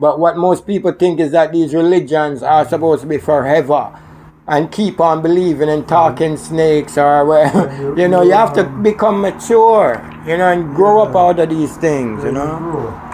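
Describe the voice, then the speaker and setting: The speaker has a Jamaican accent and a moderate pace. Noticeable background noise runs behind the voice. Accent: Jamaican patois. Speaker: Rastafarian talking about religion and spirituality. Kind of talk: casual conversation on radio show.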